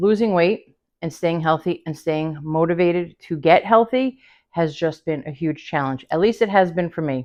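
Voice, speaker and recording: A woman with a plain, everyday voice talks at a moderate pace, fairly low in pitch, with ordinary pitch variation. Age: 50s. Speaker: lifestyle vlogger. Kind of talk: casual talk to camera.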